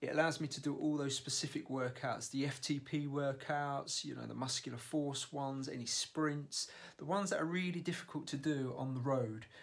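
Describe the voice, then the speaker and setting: At a moderate pace, a man speaks. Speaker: amateur triathlete vlogger. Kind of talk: casual vlog chat. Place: home room. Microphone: phone near.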